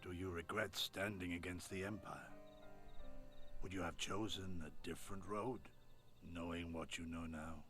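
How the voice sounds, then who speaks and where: Clear music plays behind a man doing a put-on character voice, very deep and low in pitch, with long, frequent pauses. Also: moderate pace. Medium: video game.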